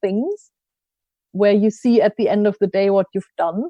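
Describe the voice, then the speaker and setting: With a German accent, a woman talks at a medium pitch in a dark, mellow tone. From Germany, rural village. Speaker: coach and learning consultant. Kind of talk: podcast interview.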